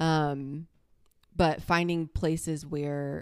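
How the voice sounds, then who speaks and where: A woman with an American accent speaks in a very deep, low voice with monotone, flat intonation. The recording is very clean with a silent background and a dry, close sound with no echo. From US South. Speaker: ministry leader. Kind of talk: casual chat.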